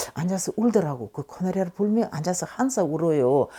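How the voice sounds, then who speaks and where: A woman speaks in a dark, mellow tone with very wide pitch swings. The recording is very clean, with a silent background. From Tashkent, Uzbekistan. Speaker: Koryo-saram oral history interviewee. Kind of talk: oral history interview answer.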